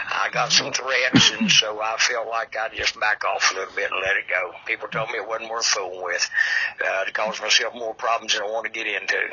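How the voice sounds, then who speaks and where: A man speaks at a fairly quick pace with an Appalachian accent. Noticeable background noise runs under his voice. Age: 70s. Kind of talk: casual chat.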